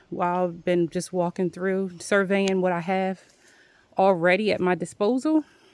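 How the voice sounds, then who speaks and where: In a Philadelphia accent, a woman speaks at a medium pitch. The recording is very clean with a silent background, a dry, close sound with no echo. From Philadelphia, US. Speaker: homesteader vlogger. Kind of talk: casual walk-and-talk vlog. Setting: outdoors.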